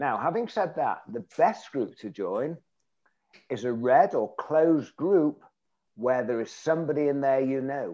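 Dark and mellow in tone, a man's voice sits fairly high and carries a northern English accent. He talks at a fairly slow pace with lively intonation. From northwest England, Bury. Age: 70s. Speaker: networking skills trainer. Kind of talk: interview. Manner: humorous.

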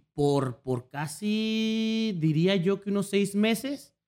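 Loud and with lively intonation, a man speaks. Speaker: streamer. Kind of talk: casual chat.

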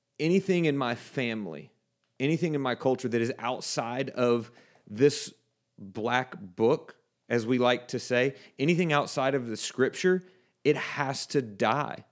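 A man with an American accent talks in an ordinary speaking voice. His pitch is medium and his pace fairly slow. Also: ordinary pitch variation. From South Texas. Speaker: Bible college podcast host, reverend. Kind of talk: casual Bible study discussion.

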